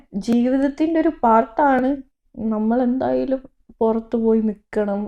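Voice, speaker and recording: This woman's voice has a dark, mellow tone. Its pitch variation is ordinary. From Thrissur, Kerala (Kodungallur). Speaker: medical student, vlogger. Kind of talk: casual Q&A chat.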